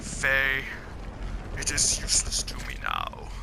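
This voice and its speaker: A man uses a put-on character voice at a fairly slow pace. Loud background noise runs underneath. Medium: game stream. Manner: growling, theatrical.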